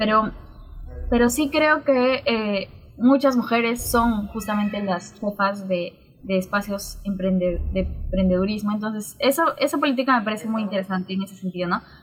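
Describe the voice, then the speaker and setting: A woman's ordinary speaking voice, fairly high, at a moderate pace with ordinary pitch variation. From Peru, Juliaca (Puno). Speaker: sociologist and university lecturer. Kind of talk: interview conversation.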